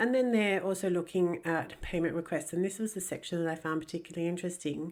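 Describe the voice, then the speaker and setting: Recorded very cleanly against a silent background, a woman speaks with an Australian accent at a fairly low pitch. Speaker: ex-Jehovah's Witness commentator. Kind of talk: casual commentary monologue.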